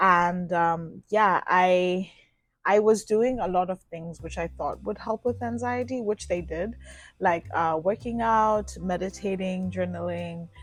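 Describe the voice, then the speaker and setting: Against a quiet background, a woman speaks. Her pace is fairly slow and her pitch variation ordinary. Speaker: lifestyle vlogger. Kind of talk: casual vlog talk. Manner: animated.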